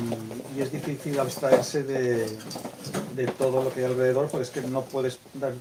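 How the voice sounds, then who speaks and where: Monotone, flat intonation at a moderate pace over noticeable background noise. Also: man. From Castile, Spain. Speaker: author, teacher. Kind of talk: book presentation talk. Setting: bookstore event with audience. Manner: hesitant, repeats words.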